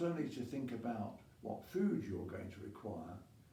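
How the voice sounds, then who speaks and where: Noticeable background noise sits behind a man whose pitch swings very widely. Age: 80s+. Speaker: masters rower. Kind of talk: casual talk to camera.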